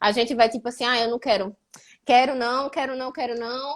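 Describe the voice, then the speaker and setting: Fairly quick speech from a woman with a high-pitched voice. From Brazil, Recife (Pernambuco). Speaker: live show host, former PhD student. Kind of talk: casual live chat. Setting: Instagram live video.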